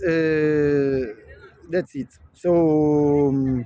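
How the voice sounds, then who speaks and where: With a Neapolitan accent, a man speaks in a fairly high pitch and a dark, mellow tone, his intonation fairly even and the sound dry and close with no echo. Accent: Italian (Neapolitan) accent in English. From Naples area, southern Italy. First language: Neapolitan/Italian. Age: 50s. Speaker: vlogger. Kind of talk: casual monologue vlog. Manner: halting, many fillers.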